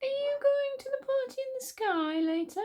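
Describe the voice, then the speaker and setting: A put-on character voice, squeaky and extremely high-pitched, speaks at a moderate pace in a cheerful tone. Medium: read story. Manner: cheerful and cunning.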